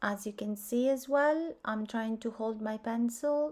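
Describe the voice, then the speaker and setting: A woman's dark, mellow voice with a non-native accent, fairly high pitch, ordinary pitch variation and a very slow pace. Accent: foreign accent, self-noted. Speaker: art teacher. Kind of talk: tutorial.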